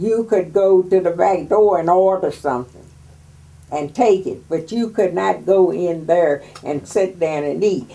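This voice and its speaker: A woman speaks with an American accent in a plain, everyday voice. Her pitch is fairly low, with ordinary pitch variation. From West Virginia. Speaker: WWII factory worker oral history interviewee. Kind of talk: oral history interview.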